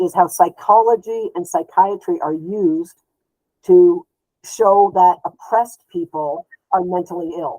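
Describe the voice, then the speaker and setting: A woman with a plain, everyday voice speaks at a medium pitch with fairly even intonation, the sound dry and close with no echo. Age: 60s. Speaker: therapist and social justice activist. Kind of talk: interview.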